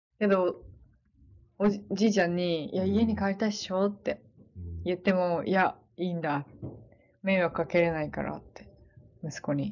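Pausing long and often, a woman speaks at a moderate pace in a medium pitch with ordinary pitch variation. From Hokkaido, Sapporo. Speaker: nurse. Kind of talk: casual interview.

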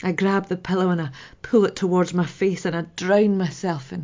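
A woman with an ordinary speaking voice talks at a moderate pace, her fairly low pitch held in fairly even intonation. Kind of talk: dramatic monologue, reflective grief.

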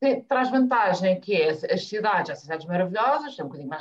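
A woman speaks very fast at a medium pitch, her voice swinging very widely up and down. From Azores, São Miguel. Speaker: family travel blogger. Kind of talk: casual interview chat.

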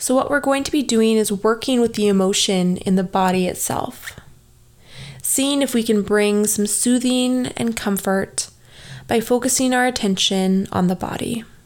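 A woman with a plain, everyday voice speaks at a fairly high pitch with ordinary pitch variation and very even loudness. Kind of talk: guided meditation. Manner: slow, calm, soothing, with long pauses; soft-spoken, gentle, instructive.

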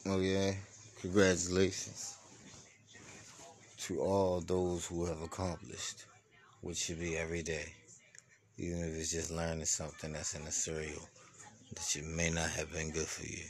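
A man speaks at a moderate pace in a very deep, low voice with flat, monotone intonation, long and frequent pauses, and audible room echo. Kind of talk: motivational monologue. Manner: slurring.

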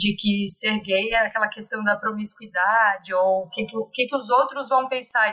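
A woman with a fairly high pitch and a bright, sharp tone, at a moderate pace with ordinary pitch variation. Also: hardly any pauses. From Brazil, Santa Catarina (Blumenau). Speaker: preschool teacher. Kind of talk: podcast interview.

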